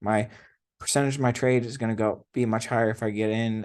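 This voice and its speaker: Fairly even intonation against a quiet background. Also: man. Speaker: trading educator. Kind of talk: tutorial. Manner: fast; casual.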